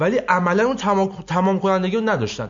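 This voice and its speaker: This is a man speaking. His pace is moderate. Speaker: football podcast co-host. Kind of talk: casual banter, joking debate. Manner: joking, teasing.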